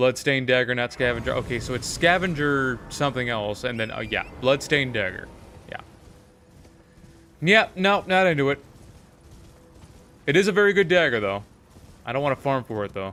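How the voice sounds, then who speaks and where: A man talks at a fairly quick pace with lively intonation and a medium pitch. His speech has long, frequent pauses, with music playing in the background. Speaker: gaming streamer. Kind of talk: live gameplay commentary. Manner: casual, stumbling over words.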